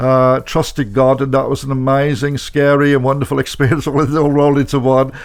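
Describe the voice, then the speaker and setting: A man with a Birmingham accent talks at a fairly quick pace with hardly any pauses, his fairly high pitch held in a monotone, flat intonation. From Birmingham, England. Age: 70s. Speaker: motivational speaker and author. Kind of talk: radio interview. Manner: halting, with many fillers.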